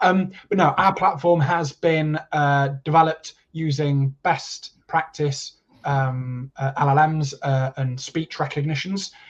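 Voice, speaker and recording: A man in an East Midlands accent speaks with a fairly high pitch, a somewhat breathy voice and fairly even intonation. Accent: mild East Midlands. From East Midlands, England. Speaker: tech company representative. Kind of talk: webinar Q&A. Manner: halting, filler-heavy.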